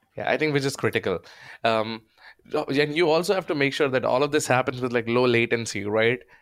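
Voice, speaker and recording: At a very fast pace, a man with an Indian accent speaks at medium pitch with ordinary pitch variation and very even loudness, in a very clean recording with a silent background. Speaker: podcast host. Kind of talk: casual interview conversation.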